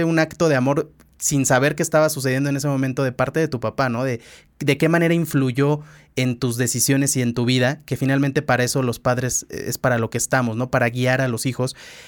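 A man talks at a fairly high pitch and a fairly quick pace. His intonation stays fairly even on a very clean recording with a silent background. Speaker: podcast host, former radio host. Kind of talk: casual interview conversation.

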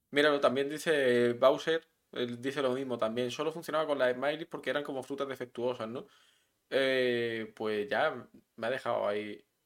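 This man talks at a moderate pace, his medium-pitched voice keeping a fairly even intonation. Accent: Melilla. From Melilla, Spain. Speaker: podcast co-host. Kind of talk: casual chat. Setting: live stream.

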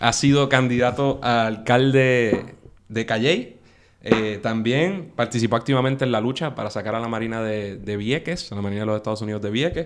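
At a moderate pace, a man with a normal speaking voice and medium pitch talks with ordinary pitch variation. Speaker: podcast host. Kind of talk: casual interview.

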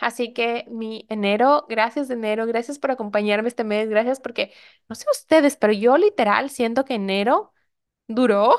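A woman speaks at a fairly high pitch and a moderate pace. Her intonation is fairly even, but her loudness swings widely. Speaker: life coach and podcast host. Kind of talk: solo podcast monologue.

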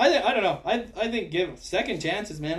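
The speaker is a man with a normal speaking voice. He moves at a fairly quick pace. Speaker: hockey podcast host. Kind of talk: casual chat.

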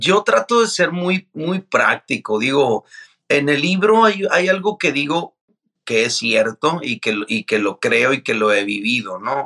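Speaking at a very slow pace, a man uses a fairly high voice. His pitch swings very widely, and the sound is dry and close with no echo. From Mexico, Mazatlán, Sinaloa. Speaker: pastor and author. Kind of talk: interview.

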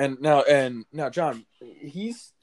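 On a very clean recording with a silent background, a man with an American accent speaks at a fairly high pitch, the sound dry and close with no echo. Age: 20s. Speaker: sports podcast co-host. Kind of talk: casual chat. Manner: animated.

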